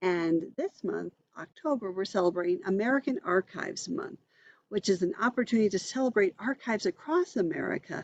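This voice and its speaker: A woman at medium pitch with an unremarkable speaking voice, fairly quick in pace, in a dry, close sound with no echo. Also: lively intonation. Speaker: minister, archive executive director. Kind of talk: interview host.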